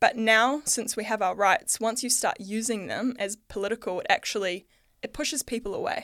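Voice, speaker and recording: A woman with a New Zealand accent and ordinary pitch variation, in a very clean recording with a silent background. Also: fairly high pitch for a woman, moderate pace. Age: 30s. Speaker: artist and podcaster. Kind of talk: interview conversation.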